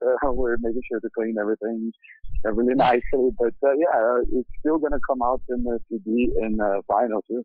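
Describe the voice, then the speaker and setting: With music in the background, a man speaks at a medium pitch and moderate pace with fairly even intonation. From Brazil. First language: Portuguese. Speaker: metal band vocalist. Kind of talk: casual interview. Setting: phone call.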